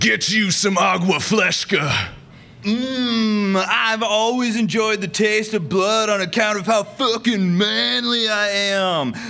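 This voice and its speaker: A man's high-pitched, raised, projected voice at a very slow pace, with ordinary pitch variation and music in the background. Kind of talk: pitchman ad parody, bro-y energy drink and law firm commercials. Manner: loud, hyped, macho shouting, excitable, swaggering.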